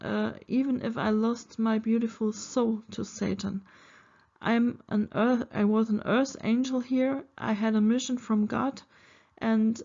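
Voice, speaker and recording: Very slow and somewhat breathy, a woman with a German accent speaks at a fairly high pitch with a monotone, flat intonation. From Germany. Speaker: spiritual video creator. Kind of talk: spiritual monologue to camera. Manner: halting, many fillers.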